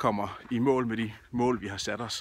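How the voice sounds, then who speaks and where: The speaker is a man with a medium pitch. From Denmark, Odense (Funen). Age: 30s. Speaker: job seeker, event project manager. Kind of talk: self-promotional video appeal. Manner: casual, with frequent filler hesitations.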